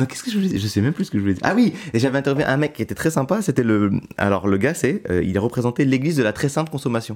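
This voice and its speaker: This man talks at a very fast pace. His medium-pitched voice moves in very wide pitch swings. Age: 20s. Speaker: stand-up comedian. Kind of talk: casual chat.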